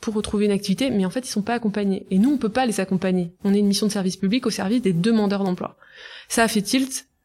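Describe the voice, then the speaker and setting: In a plain, everyday voice, a woman speaks at medium pitch on a very clean recording with a silent background. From Brittany, France (Côtes d'Armor). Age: 30s. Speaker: entrepreneur, start-up founder. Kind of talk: interview.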